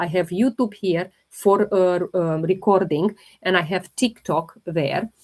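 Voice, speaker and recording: Speaking at a very slow pace with a non-native accent, a woman uses a medium pitch and ordinary pitch variation. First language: not English. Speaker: holistic health livestreamer. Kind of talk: live Q&A stream.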